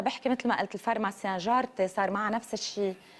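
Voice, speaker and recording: A woman speaks at a very fast pace. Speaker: TV morning show host. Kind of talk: TV interview.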